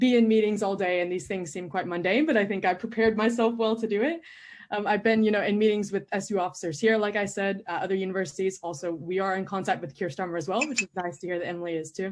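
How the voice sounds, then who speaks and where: A woman's medium-pitched voice with an American accent, very fast, with ordinary pitch variation. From United States. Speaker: student election candidate. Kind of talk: candidate Q&A answer. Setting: live stream Q&A.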